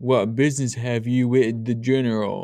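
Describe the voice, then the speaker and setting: A man puts on a booming character voice. It sits at a medium pitch. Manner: gruff, challenging.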